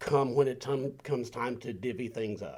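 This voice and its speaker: A man speaks with a Southern US accent. His pitch is medium. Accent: Southern US (Georgia). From US South, middle Georgia. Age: 60s. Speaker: gardener, community volunteer. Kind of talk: panel discussion.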